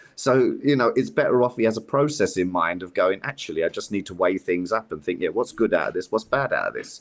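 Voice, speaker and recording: A man speaks at a very fast pace with a London accent. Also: hardly any pauses. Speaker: youth worker. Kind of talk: casual chat. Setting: podcast interview.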